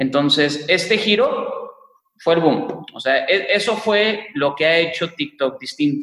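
Very slow delivery with lively intonation and very even loudness. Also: man, high pitch for a man. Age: 20s. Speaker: tech entrepreneur. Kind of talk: interview.

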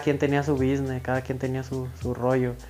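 This man has an ordinary speaking voice with fairly even intonation. He speaks at a medium pitch and a moderate pace. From Mexico, Michoacán (Villa Jiménez). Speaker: rapper. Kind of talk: interview, casual chat.

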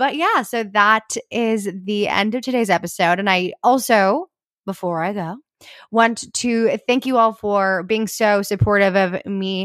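In an unremarkable speaking voice, a woman talks at a fairly slow pace and a medium pitch with ordinary pitch variation, in a very clean recording with a silent background and a dry, close sound with no echo. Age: 20s. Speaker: podcast host, college student. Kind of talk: casual chat; podcast outro.

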